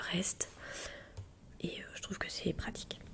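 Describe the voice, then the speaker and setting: Whispered words from a woman at a moderate pace, noticeable background noise behind them. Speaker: parent who shops for the family. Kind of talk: casual talk to camera, grocery haul. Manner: soft-spoken.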